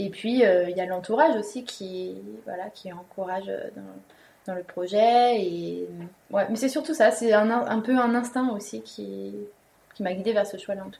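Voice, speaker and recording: Pausing long and often, a woman with a dark, mellow tone and medium pitch talks at a fairly slow pace, her loudness swinging widely and her pitch varying in an ordinary way. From Paris suburbs, France. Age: young. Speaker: apprentice winegrower, former marketing professional. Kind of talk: interview, personal story. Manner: hesitant, many fillers.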